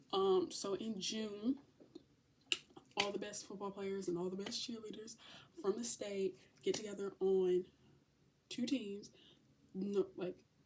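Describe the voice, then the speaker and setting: A woman speaks at a medium pitch in a dark, mellow tone with ordinary pitch variation. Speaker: vlogger. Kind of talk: casual chat. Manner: fast; animated.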